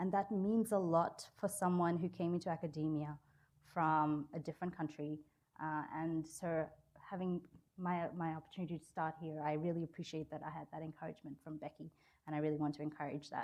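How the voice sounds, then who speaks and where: A woman's very deep, low voice with an American accent, monotone and flat, at a fairly quick pace. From Australia. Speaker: law professor. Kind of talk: lecture.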